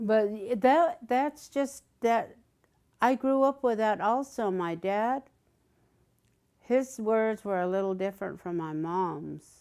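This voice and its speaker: In a Southern California accent, a woman speaks at a very slow pace with lively intonation on a very clean recording with a silent background. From Southern California, Cahuilla reservation. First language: Cahuilla. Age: old. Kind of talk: interview. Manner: halting.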